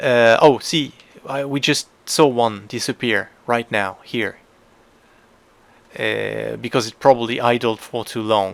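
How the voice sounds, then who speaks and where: On a very clean recording with a silent background, a man with a non-native accent speaks fairly slowly at medium pitch, with fairly even intonation and long, frequent pauses. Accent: non-native English pronunciation. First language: not English. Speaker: gaming youtuber. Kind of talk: tutorial voiceover. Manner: hesitant, many filler sounds.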